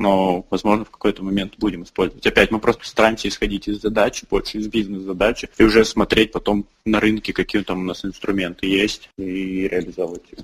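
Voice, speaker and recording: A man's fairly low, monotone, flat voice at a fairly quick pace with hardly any pauses. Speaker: startup founder and CEO. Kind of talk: interview.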